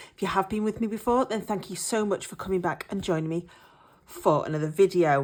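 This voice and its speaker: Speaking with an English accent, a woman uses a medium pitch and ordinary pitch variation. Her pace is fairly quick. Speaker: budgeting vlogger. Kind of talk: casual vlog chat. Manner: hesitant, many fillers.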